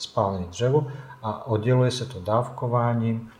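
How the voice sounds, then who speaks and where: Over noticeable background noise and audible room echo, a man talks at a fairly slow pace with fairly even intonation. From Bosnia and Herzegovina. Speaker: coffee expert, café owner. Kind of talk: interview.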